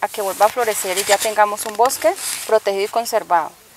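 A woman at a fairly quick pace, dry sound with no echo, noticeable background noise. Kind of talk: interview answer. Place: open country.

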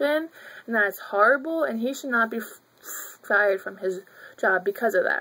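Her voice high-ish and bright with a sharp tone, a woman speaks at a moderate pace with lively intonation and long, frequent pauses. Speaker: college student. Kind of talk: video blog talk to camera.

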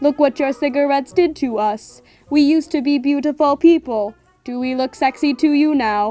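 A put-on, robotic character voice, female-sounding, at a moderate pace with faint music in the background. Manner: grim, ominous.

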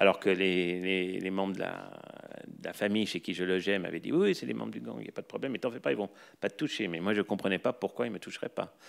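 Against a quiet background, a man with a very deep, low pitch speaks at a very fast pace, using vocal fry and lively intonation. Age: 40s. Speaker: professor of anthropology and sociology; professor of anthropology. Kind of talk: lecture. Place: hall. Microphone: podium.

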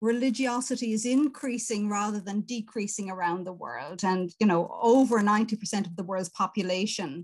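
A woman's somewhat breathy, fairly high voice at a moderate pace, with ordinary pitch variation and a quiet background. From Ireland. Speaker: professor of ethics and religion; professor guest. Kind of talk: interview answer. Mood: thoughtful, engaged. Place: home room. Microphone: video call.

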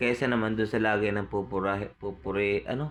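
A man talks at a moderate pace. His voice is fairly low, with fairly even intonation. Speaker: vlogger and family caregiver. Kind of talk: cooking vlog narration.

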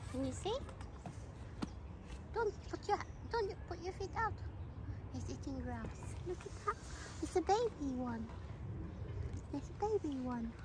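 Dry with no echo but with noticeable background noise, the speech comes at a fairly slow pace with long, frequent pauses. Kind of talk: casual talk to a small child. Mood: gentle, encouraging. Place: open country. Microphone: phone near.

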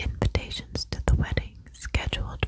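A soft-spoken woman whispers at a fairly slow pace. The sound is dry with no echo, yet there is noticeable background noise. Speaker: audiobook reader. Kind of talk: soft-spoken book reading. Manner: soft close-mic whisper, reading. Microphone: studio mic.

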